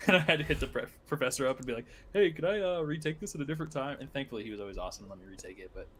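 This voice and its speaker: A man's fairly high voice with vocal fry, a very fast pace, lively intonation and big swings in loudness. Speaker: podcast co-host. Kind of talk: casual chat.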